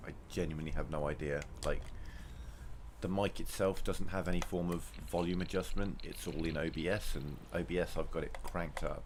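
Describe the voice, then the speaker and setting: Audible room echo surrounds the voice. A man talks at a fairly quick pace. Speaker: video game streamer. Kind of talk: live gameplay commentary. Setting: live stream. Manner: soft-spoken. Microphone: cheap gaming mic, low volume.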